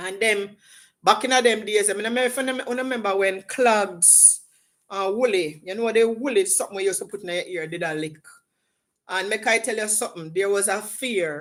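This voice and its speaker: On a very clean recording with a silent background, a woman in a Jamaican accent speaks at a fairly quick pace in an animated tone and a fairly high pitch. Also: ordinary pitch variation. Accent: Jamaican, with patois. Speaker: livestream host. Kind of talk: casual chat. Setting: livestream.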